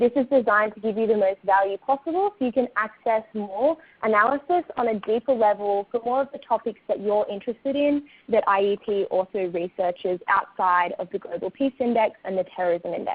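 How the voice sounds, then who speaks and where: This woman has an Australian accent and a fairly high voice. She talks fairly quickly with hardly any pauses. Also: ordinary pitch variation. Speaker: communications staff member. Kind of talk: webinar presentation. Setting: online webinar.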